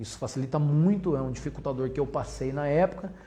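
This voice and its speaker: A man's fairly quick speech amid audible room echo. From Brazil. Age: 40s. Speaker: entrepreneur. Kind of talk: lecture.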